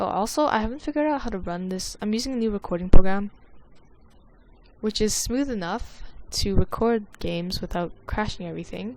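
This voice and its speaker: A woman mumbles quietly at a fairly quick pace, her fairly high voice showing big swings in loudness. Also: ordinary pitch variation. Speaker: gaming YouTuber. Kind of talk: gameplay commentary. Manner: quiet, mumbling. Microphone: poor microphone, avoids breathing into it.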